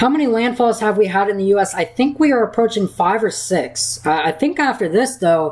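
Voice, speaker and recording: At a moderate pace, a woman speaks with lively intonation in a medium pitch. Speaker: weather livestreamer. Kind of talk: live Q&A stream. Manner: halting. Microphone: mic cutting out at times.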